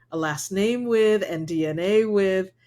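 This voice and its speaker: The pitch moves in an ordinary way. The recording is very clean, with a silent background. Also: woman. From US mainland, Cuban and Puerto Rican parents. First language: Spanish. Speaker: corporate diversity executive. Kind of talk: podcast interview.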